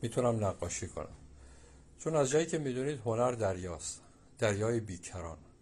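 A man speaks at a moderate pace in a medium, somewhat breathy voice. His pitch swings very widely, and he leaves long, frequent pauses. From Iran, Abadan (Khuzestan). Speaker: painter and sculptor. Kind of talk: interview. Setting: at home in his studio.

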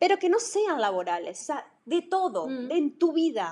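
A woman speaks in a high, animated voice whose pitch swings very widely. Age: 40s. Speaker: podcast co-host, workplace wellbeing consultant. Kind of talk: casual conversational podcast.

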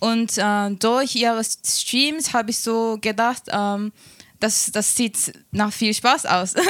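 In a Japanese accent, a woman speaks at a fairly high pitch with fairly even intonation. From small town in Japan. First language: Japanese (speaking German). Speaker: Twitch streamer. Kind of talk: interview. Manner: halting.

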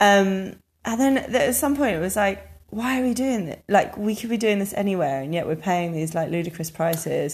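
Somewhat breathy, a woman speaks at a medium pitch with a southern English accent. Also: lively intonation, moderate pace. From England, London area (Harrow). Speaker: podcast co-host. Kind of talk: casual chat.

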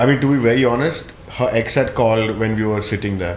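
A man talks at a moderate pace in a medium pitch with fairly even intonation. There is noticeable background noise. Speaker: podcast co-host. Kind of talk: casual chat.

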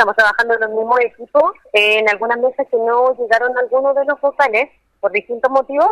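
A woman with a high pitch speaks at a fairly quick pace in a dry, close sound with no echo. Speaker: polling station official. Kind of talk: phone interview.

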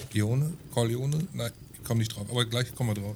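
Somewhat breathy, this voice goes at a moderate pace and has ordinary pitch variation. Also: man. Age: 30s. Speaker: podcast co-host. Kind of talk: casual chat.

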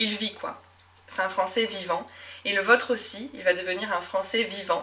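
A woman speaks with ordinary pitch variation. Noticeable background noise sits behind her. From southwest France (Médoc, near Bordeaux). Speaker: French teacher and podcast host. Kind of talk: solo podcast monologue. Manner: natural, relaxed.

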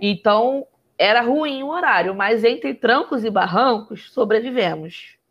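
A woman's unremarkable speaking voice at a fairly high pitch and fairly slow pace, with lively intonation and very even loudness. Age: 20s. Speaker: photographer and entrepreneur. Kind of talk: casual chat.

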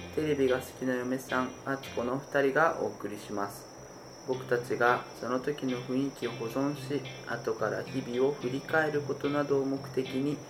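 A man's medium-pitched voice with monotone, flat intonation at a moderate pace, music in the background. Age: 30s. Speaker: podcast host, gamer and father. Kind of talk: casual chat. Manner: hesitant, filler-heavy.

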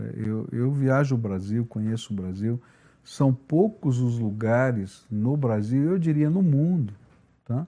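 Speaking at a very slow pace, a man with a medium pitch has a dark, mellow tone. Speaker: pastor and podcast host. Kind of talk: casual chat; sermon. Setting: studio.

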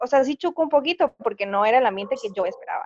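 The sound is dry and close, with no echo. The voice moves through very wide pitch swings at a fairly quick pace. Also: woman. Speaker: university student, friend of host. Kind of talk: casual chat.

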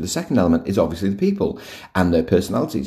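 This man's tone is dark and mellow. There is some breathiness in his voice. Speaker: podcast host, workplace culture author. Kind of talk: solo podcast talk. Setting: recording at home. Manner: casual, with fillers and restarts.

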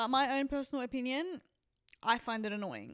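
At a moderate pace and with ordinary pitch variation, someone speaks in a Sydney accent on a very clean recording with a silent background. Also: woman. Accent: Australian (Western Sydney). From Western Sydney, Australia. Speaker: podcast host. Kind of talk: casual monologue. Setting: on a couch, not at home.

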